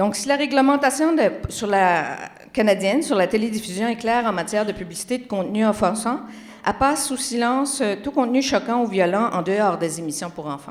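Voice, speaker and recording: Spoken in a Magdalen Islands accent, the voice moves at a fairly quick pace with lively intonation, and the room echo is audible. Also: woman, fairly high pitch for a woman. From Quebec, Magdalen Islands. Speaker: communications researcher. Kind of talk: conference talk. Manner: animated.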